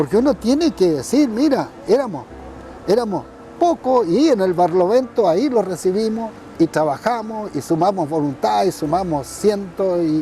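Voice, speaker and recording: Over noticeable background noise, a man with a high pitch speaks at a moderate pace, his loudness very even while his pitch swings very widely. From northern Chile, Iquique. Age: 70s. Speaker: former political prisoner and politician. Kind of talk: interview testimony. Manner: halting, many fillers.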